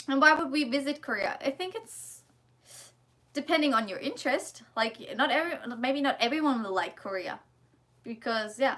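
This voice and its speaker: Speaking at a moderate pace with long, frequent pauses, a woman uses a high pitch, a bright, sharp tone and lively intonation. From Germany. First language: German. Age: 20s. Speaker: vlogger, student in Korea. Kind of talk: casual livestream chat and Q&A. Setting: livestream. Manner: casual, hesitant with fillers.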